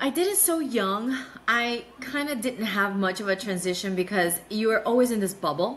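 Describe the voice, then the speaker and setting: Over noticeable background noise, a woman speaks with a fairly high pitch and lively intonation. Her pace is moderate. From South Florida, Miami (moved from Nicaragua at 7). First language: Spanish. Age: 40s. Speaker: business development analyst. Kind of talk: interview conversation.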